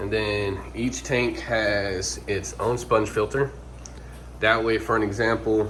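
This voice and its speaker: With noticeable background noise and audible room echo, a man speaks at a very slow pace. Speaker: fishkeeping hobbyist. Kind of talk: casual tutorial walkthrough.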